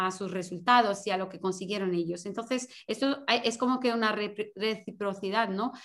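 A woman with a Portuguese accent, fairly high in pitch, ordinary pitch variation, moderate pace. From Portugal. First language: Portuguese (speaking Spanish). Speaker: sports mental coach. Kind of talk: interview. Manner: halting.

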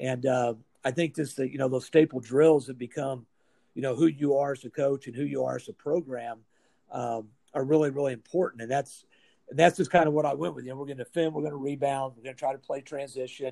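A man's fairly high, dark, mellow voice with an American accent, very fast, fairly even in intonation, with big swings in loudness. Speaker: high school basketball coach. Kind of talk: casual interview.

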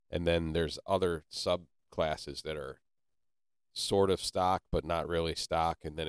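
In a dry, close recording with no echo, a man with an American accent speaks fairly slowly at a very deep, low pitch and with monotone, flat intonation. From Ohio (Canton). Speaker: podcast host. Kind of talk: casual chat. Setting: studio.

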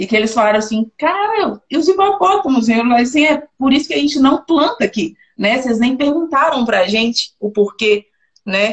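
Her voice pitched high, a woman speaks with lively intonation. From Minas Gerais, Belo Horizonte. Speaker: mining engineer, process improvement specialist. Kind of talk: interview.

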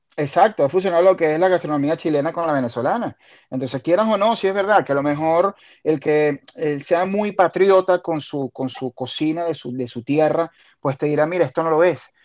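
An unremarkable speaking voice comes from a man with a fairly high pitch and ordinary pitch variation, moving at a fairly quick pace. The sound is dry and close with no echo, over a quiet background. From Venezuela, La Guaira. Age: 40s. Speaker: podcast host. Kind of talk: casual chat.

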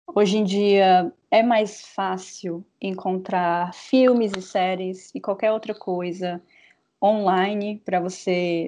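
A woman's medium-pitched voice with a dark, mellow tone, at a very slow pace over a quiet background. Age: 20s. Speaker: podcast co-host, graphic designer. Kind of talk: casual chat.

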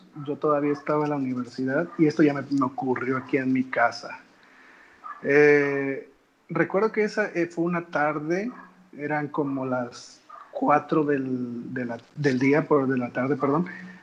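Noticeable background noise sits behind a man speaking at a fairly slow pace. His pitch is fairly high, with ordinary variation. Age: 20s. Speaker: football fan influencer. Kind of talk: casual chat.

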